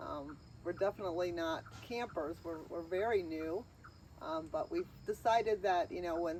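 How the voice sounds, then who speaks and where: A woman talks at a moderate pace in an ordinary speaking voice. Her intonation is fairly even. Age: 60s. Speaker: RV owner and video creator. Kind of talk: casual chat.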